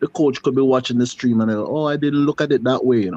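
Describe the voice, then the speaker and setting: A man's medium-pitched voice, dark and mellow in tone, with ordinary pitch variation and a slight Jamaican accent. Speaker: football commentator. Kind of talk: casual chat. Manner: halting, many fillers and repetitions.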